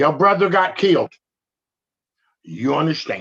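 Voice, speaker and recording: Vocal fry runs through an animated delivery at a fairly slow pace. The sound is dry and close with no echo. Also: man. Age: 50s. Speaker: activist, relative of police violence victim. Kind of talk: interview conversation.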